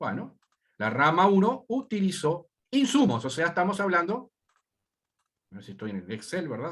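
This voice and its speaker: A man speaks with a high pitch, very wide pitch swings and big swings in loudness. Long pauses come often. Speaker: university lecturer. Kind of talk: lecture.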